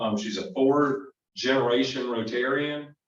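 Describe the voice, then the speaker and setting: Fairly slow speech from a man in a Southern US accent, with ordinary pitch variation and audible room echo. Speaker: club program speaker. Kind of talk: presentation at club meeting. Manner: casual, halting with fillers.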